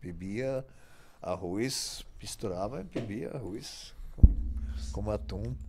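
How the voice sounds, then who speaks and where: Amid loud background noise, a man with a very deep, low pitch and a dark, mellow tone speaks at a very slow pace, using vocal fry and very wide pitch swings. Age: 60s. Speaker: bodybuilding coach and former competitor. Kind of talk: casual interview. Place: studio. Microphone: studio mic.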